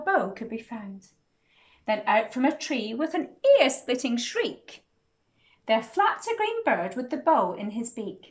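Her pitch is fairly high and swings widely. The woman speaks at a fairly slow pace.

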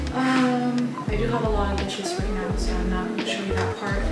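Audible room echo surrounds a woman's voice as loud music plays in the background. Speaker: vlogger. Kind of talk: casual vlog chat. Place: home room. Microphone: phone near.

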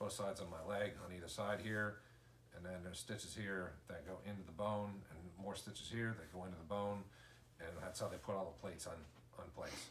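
Over light background noise, a man talks at a fairly quick pace with a fairly low pitch and fairly even intonation. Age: 40s. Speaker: vlogger, injured father; vlogger. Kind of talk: casual video diary. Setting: hospital room. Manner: halting, many fillers. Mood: calm, matter-of-fact. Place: home room. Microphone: camera far.

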